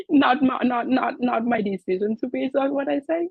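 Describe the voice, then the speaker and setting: Somewhat breathy, a woman talks at a fairly quick pace, her pitch swinging very widely. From Vietnam. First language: Vietnamese. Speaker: web developer, club president. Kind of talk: interview. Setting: podcast recording.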